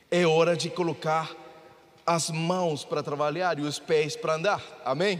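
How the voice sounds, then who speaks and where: Flat, monotone intonation at a fairly slow pace, with audible room echo and noticeable background noise. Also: man, fairly high pitch for a man. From Mexico. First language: Spanish (speaking Portuguese). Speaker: pastor. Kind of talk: sermon.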